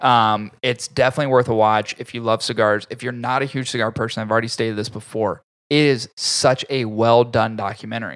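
Speaking in an ordinary speaking voice, a man talks at a fairly quick pace and a medium pitch, with fairly even intonation and hardly any pauses, on a very clean recording with a silent background. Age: 30s. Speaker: podcast host, cigar reviewer. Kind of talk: casual chat. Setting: studio.

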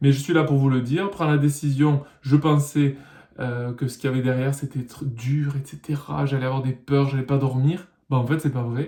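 Somewhat breathy and dark, mellow in tone, a man with a fairly high pitch speaks in a monotone, flat intonation at a moderate pace. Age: 30s. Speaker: musician and vlogger. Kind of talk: personal vlog monologue.

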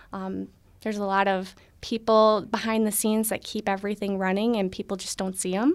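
In an American accent, a woman speaks at a fairly quick pace. Her medium pitch comes with fairly even intonation. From Minnesota (Ogilvie area). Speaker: city government administrator, Navy veteran. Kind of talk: radio interview.

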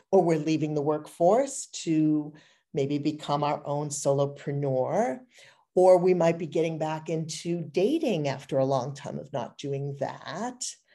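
This woman's voice has a very deep, low pitch and a dark, mellow tone. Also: ordinary pitch variation, fairly slow pace. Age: 50s. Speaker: image consultant. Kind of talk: interview conversation.

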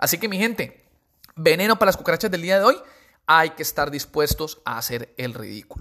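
A man speaks in a high, bright, sharp voice at a fairly quick pace. His tone is animated, with very wide pitch swings. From Colombia, Pacific coast (Buenaventura). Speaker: podcaster and insurance promoter. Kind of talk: motivational monologue. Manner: casual, animated.

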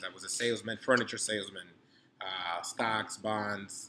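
Speaking at a moderate pace, a man uses a fairly low pitch, a bright, sharp tone and monotone, flat intonation. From New York City (Harlem), born in Dominican Republic. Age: 30s. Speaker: grad student and entrepreneur. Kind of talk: casual interview. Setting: hotel cigar lounge.

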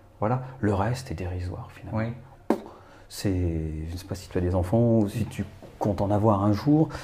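A man's fairly low voice with ordinary pitch variation, a moderate pace, long and frequent pauses, noticeable background noise and audible room echo. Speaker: photographer and actor. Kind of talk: casual chat.

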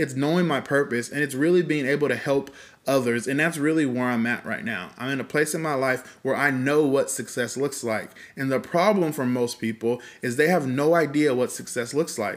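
In a very clean recording with a silent background, a man with a fairly high pitch and ordinary pitch variation talks at a fairly quick pace. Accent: Californian. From California (Fresno). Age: 30s. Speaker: podcast co-host, entrepreneur. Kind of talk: casual chat.

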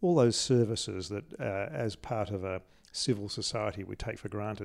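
A man with an Australian accent speaks at a moderate pace in a fairly low voice. The recording is very clean, with a silent background. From Australia, Adelaide. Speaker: interviewee, scientist. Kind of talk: interview. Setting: in a conservatory at home. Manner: halting, many repeated words.

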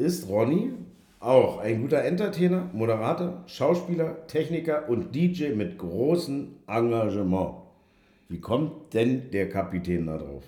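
In a room with audible echo, a man speaks very slowly at a fairly high pitch, his dark, mellow tone marked by vocal fry and very wide pitch swings. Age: 40s. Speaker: podcast host. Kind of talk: casual chat. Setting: studio.

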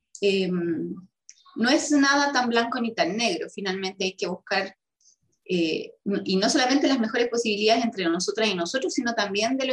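A woman speaks with a Chilean accent at a fairly high pitch. Her intonation is lively and her pace moderate. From Chile, O'Higgins region (Rengo). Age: 30s. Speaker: constitutional convention delegate and chess player. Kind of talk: interview.

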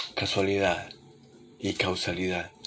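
Soft-spoken and very slow, a man talks at a fairly low pitch with music playing in the background. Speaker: podcast host. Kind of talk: late-night reflective monologue. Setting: home living room at night. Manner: soft, intimate; calm, unhurried.

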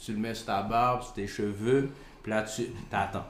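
A man's voice carries audible room echo while noticeable background noise continues. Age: 40s. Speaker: podcast co-host. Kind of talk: casual debate.

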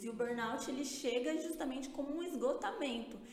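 A woman's high-pitched voice comes through audible room echo and noticeable background noise. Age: 20s. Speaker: music industry communications strategist. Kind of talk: interview. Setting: studio.

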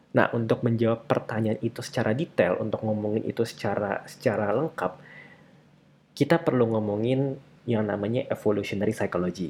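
The clip has an ordinary speaking voice, its pitch varying in an ordinary way. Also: man, medium pitch for a man. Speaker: podcast host. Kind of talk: casual solo monologue on a self-help book.

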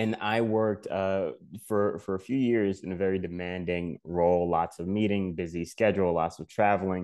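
A man speaks at a moderate pace in a very deep, low pitch with fairly even intonation against a quiet background. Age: 30s. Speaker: life balance coach. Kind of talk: interview.

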